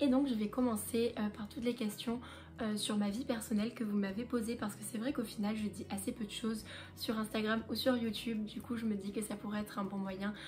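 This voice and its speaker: A woman's fairly high, flat, monotone voice at a fairly quick pace amid noticeable background noise. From southern France, Marseille. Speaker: lifestyle vlogger. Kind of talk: casual chat to camera. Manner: relaxed, hesitant with fillers.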